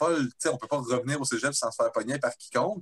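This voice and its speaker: A man with a Quebec accent speaks at a fairly high pitch. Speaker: band member. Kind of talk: casual chat.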